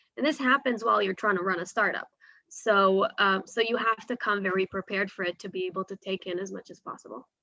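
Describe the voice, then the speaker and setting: A woman's medium-pitched voice with an American accent, very fast pace, ordinary pitch variation and big swings in loudness, in a dry, close recording without echo. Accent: sounds American. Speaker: startup sales professional. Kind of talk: webinar panel talk.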